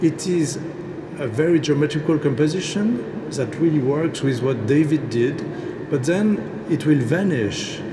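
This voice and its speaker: A man at a fairly slow pace with noticeable background noise. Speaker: landscape architect. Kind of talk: speech at ceremony. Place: hall. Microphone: podium.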